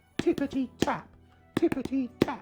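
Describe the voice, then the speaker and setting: Faint music plays behind a high-pitched, put-on character voice speaking at a moderate pace. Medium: solo performance. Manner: sly, crafty.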